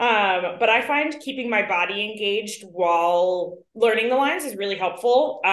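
Speaking at a moderate pace with hardly any pauses, a woman uses a plain, everyday voice, fairly high in pitch, with ordinary pitch variation and an American accent. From New York. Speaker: actress. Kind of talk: casual interview.

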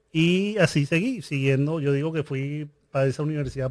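A man with a fairly high pitch speaks at a moderate pace in an ordinary speaking voice, keeping his intonation fairly even. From Venezuela. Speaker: business coach and entrepreneur. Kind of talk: interview conversation.

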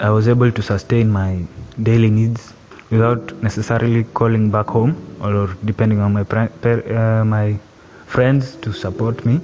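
Amid noticeable background noise, a man talks at a moderate pace. His pitch is medium with ordinary variation. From Kenya, Nakuru County. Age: 20s. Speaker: engineering student. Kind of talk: personal testimony.

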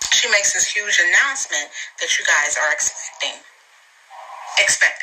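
A woman talks at a fairly quick pace. Noticeable background noise can be heard. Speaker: podcast host. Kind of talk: casual chat.

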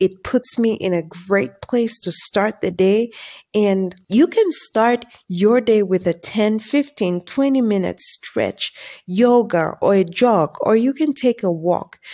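Very slowly and with lively intonation, a woman talks in a fairly high pitch with a dark, mellow tone, on a very clean recording with a silent background and a dry, close sound with no echo. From Zambia. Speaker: faith and self-improvement podcast host. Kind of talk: solo podcast monologue.

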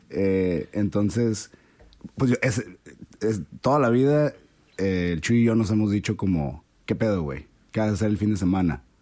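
A man with a Mexican accent speaks at a fairly low pitch with lively intonation. His loudness stays very even, and he takes long, frequent pauses. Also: fairly slow pace. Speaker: podcast guest. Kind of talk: casual chat.

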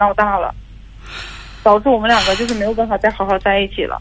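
This is a woman speaking in a fairly high voice. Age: 20s. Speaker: caller. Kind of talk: phone-in account. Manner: halting.

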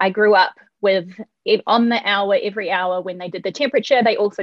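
A woman speaks in a New Zealand accent. Her medium-pitched voice moves at a fairly quick pace. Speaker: architecture professor. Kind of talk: interview.

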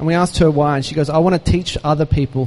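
A man with an Australian accent talks at a very fast pace with fairly high pitch and fairly even intonation. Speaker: charity founder. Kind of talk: inspirational talk. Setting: stage with audience.

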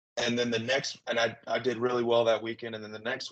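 A man with a Southern US accent at a fairly quick pace, over a quiet background. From Arkansas, Little Rock. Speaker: former minor league baseball player. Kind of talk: interview. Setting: video call.

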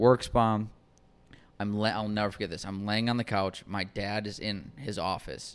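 A man speaks at a moderate pace in a plain, everyday voice, fairly low in pitch with fairly even intonation. The recording is very clean, with a silent background. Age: 20s. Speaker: comedian and podcast host. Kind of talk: casual chat. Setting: studio.

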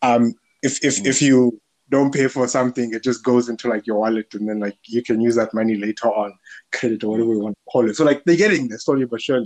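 A man's medium-pitched voice at a very fast pace, fairly even in intonation, with a dry, close sound and no echo. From South Africa, Limpopo (Polokwane). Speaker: podcast host and tech startup founder. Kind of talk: casual chat. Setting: video call. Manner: hesitant, lots of fillers.

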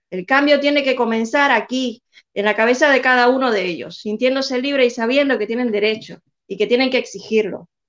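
A woman's high voice moves at a fairly quick pace with ordinary pitch variation. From Cuba. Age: young. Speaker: activist. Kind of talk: interview.

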